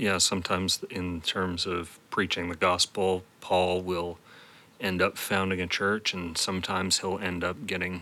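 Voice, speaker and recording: A man speaks at a moderate pace in a very deep, low voice with a bright, sharp tone. His intonation stays monotone and flat. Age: 30s. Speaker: podcast host. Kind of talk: interview. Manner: halting.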